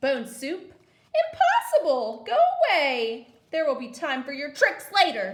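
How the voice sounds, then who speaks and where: The speaker uses a put-on character voice, raised and projected. The pace is fairly slow. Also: woman, high pitch for a woman. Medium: read story. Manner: eerie, calling out.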